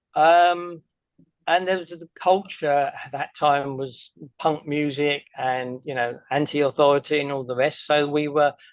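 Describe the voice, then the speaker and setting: Speaking at a fairly slow pace in an English accent, a man with a fairly high pitch for a man keeps his intonation fairly even. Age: 60s. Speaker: activist. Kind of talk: Q&A answers after a presentation. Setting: meeting with audience.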